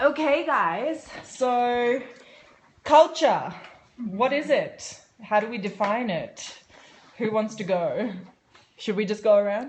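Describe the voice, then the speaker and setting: A woman's high voice in an Australian accent, very slow, with lively intonation and long, frequent pauses. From Australia, Sydney. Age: 20s. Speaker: show presenter. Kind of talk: casual group discussion.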